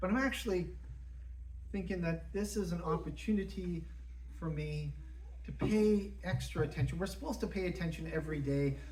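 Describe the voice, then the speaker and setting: The speaker talks at a fairly quick pace but with long, frequent pauses. Noticeable background noise is present. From Canadian Prairies. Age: 50s. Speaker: pastor. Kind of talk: sermon. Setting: church. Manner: halting, repeats words.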